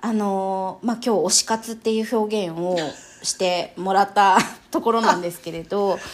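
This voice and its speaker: A woman with a plain, everyday voice speaks at a moderate pace and a medium pitch, with ordinary pitch variation and big swings in loudness. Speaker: wedding MC and picture-book specialist. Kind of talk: casual interview.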